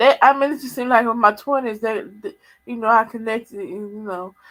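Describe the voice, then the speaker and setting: Over background music, a woman with a fairly high pitch and ordinary pitch variation talks quietly at a fairly quick pace, her loudness swinging widely. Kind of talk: casual live chat.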